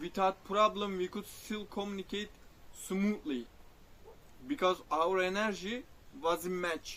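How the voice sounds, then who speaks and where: Speaking very slowly in a Turkish accent, a man uses a high pitch with ordinary pitch variation. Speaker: spiritual vlogger. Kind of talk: personal reflective monologue. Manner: halting, self-correcting.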